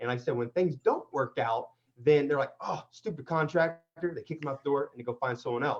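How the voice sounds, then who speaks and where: A man is speaking here. His pitch sits fairly high and his pace is fairly quick. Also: ordinary pitch variation. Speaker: construction contractor and renovation expert. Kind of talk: online interview with teaching. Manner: fast; animated.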